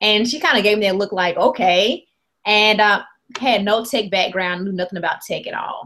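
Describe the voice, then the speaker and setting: In a Mississippi accent, a woman speaks at a fairly high pitch and a moderate pace. Her tone is bright and sharp, with ordinary pitch variation. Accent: Southern US (Mississippi). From US South, rural Mississippi. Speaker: app company founder. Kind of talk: interview. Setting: video call.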